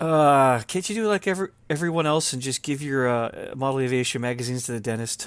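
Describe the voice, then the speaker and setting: Very fast and with hardly any pauses, the speaker talks with ordinary pitch variation. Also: man, medium pitch for a man. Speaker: RC helicopter podcast host and competition caller. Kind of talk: casual chat. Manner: loud.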